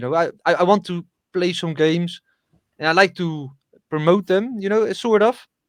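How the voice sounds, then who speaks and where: A man with a high pitch talks at a moderate pace, his pitch varying an ordinary amount. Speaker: streamer and dock machine operator. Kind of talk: casual chat. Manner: halting, repeats words.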